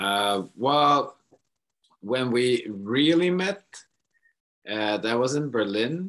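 A man at a medium pitch with lively intonation, a very slow pace and long, frequent pauses against a quiet background. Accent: Swedish. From Sweden. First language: Swedish. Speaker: rock musician. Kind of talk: interview. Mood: relaxed, amused. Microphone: video call.

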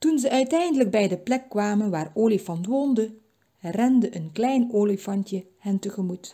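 Quiet background beneath an unforced reading voice

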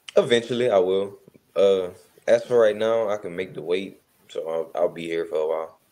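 A man speaks at a moderate pace. His loudness swings widely. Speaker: guest. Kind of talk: interview answer. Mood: relaxed, laid back. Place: home room. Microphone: video call.

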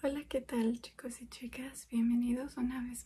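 The voice has a dark, mellow tone delivered in a flat monotone. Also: woman. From Mexico. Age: 20s. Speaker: programmer. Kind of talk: ASMR soft-spoken makeup chat. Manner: soft-spoken.

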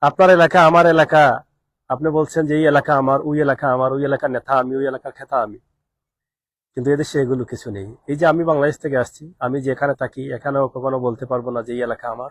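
A man's fairly high-pitched voice, a normal speaking voice, comes through dry and close with no echo, its intonation fairly even while the loudness swings widely. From Bangladesh. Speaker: expatriate vlogger. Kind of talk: live stream monologue.

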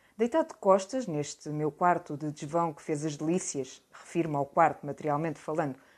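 Against a quiet background, a woman talks at a fairly low pitch. She has ordinary pitch variation. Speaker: audiobook reader. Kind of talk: literary audiobook reading, reading aloud a first-person novel excerpt. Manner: measured, slow, deliberate literary delivery. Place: home room. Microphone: webcam.

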